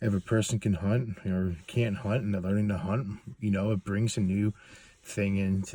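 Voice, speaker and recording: A man speaks at a moderate pace in a fairly low pitch, his tone dark and mellow and his intonation fairly even. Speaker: hunting guide. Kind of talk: casual monologue. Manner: halting, many fillers.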